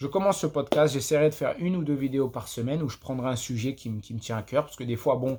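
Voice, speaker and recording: A man at medium pitch, with a dark, mellow tone, talks at a moderate pace in a very clean recording with a silent background. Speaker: podcaster. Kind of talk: casual monologue. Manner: halting, many repetitions; unscripted, off the cuff.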